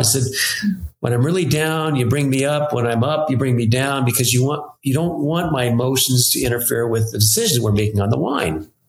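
Audible room echo surrounds a man speaking at a fairly quick pace and medium pitch. His pitch varies in an ordinary way, and his loudness stays very even. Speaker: winemaker. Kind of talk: casual chat.

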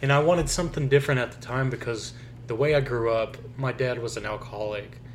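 Spoken in a monotone with flat intonation, the voice moves at a fairly quick pace with an American accent. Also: man. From Oklahoma. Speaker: podcast co-host. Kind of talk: casual chat, personal testimony.

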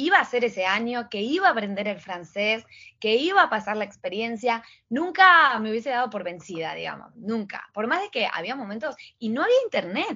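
A woman talks at a moderate pace, her fairly high pitch swinging very widely. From Argentina, Patagonia (Trelew, Chubut). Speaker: Instagram coach and entrepreneur. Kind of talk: casual interview.

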